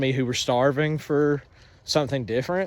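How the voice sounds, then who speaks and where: A man with a rural Southern US accent at a fairly quick pace. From US South, North Georgia mountains. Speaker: anime shop owner. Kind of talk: casual monologue. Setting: outdoors, on a walk. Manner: halting, many fillers.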